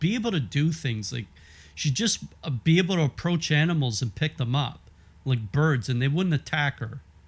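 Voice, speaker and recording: A man with a fairly high voice speaks at a moderate pace, somewhat breathy, with very wide pitch swings, on a very clean recording with a silent background. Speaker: religious commentator. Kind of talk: reading aloud with commentary. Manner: halting.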